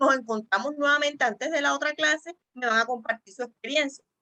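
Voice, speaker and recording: The voice is bright and sharp, with lively intonation at a fairly quick pace. The sound is dry and close, with no echo. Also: woman. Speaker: church teacher trainer. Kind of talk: online training class. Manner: fast.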